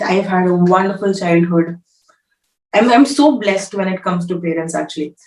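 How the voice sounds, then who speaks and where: This is a woman's voice at a moderate pace. Her pitch sits in the medium range. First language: Malayalam and Bengali. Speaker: film actress. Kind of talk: interview.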